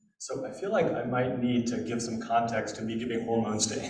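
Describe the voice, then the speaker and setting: A man talks at a medium pitch with lively intonation. Room echo can be heard in the recording. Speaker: professor. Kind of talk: lecture. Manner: loud.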